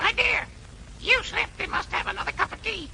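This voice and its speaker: A squeaky put-on character voice runs at a fairly quick pace over clear background noise. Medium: short film. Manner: repeats words, squawky.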